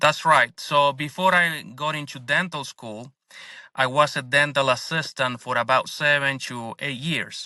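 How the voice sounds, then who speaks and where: Over a quiet background, a man with a Spanish accent speaks fairly slowly in a bright, sharp, fairly high voice with fairly even intonation. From Argentina. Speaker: dentist and business owner. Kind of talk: interview podcast.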